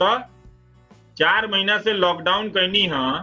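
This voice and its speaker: Over music in the background, a man talks in a high pitch with ordinary pitch variation. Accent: Bhojpuri. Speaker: TV news anchor. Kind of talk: live talk to viewers.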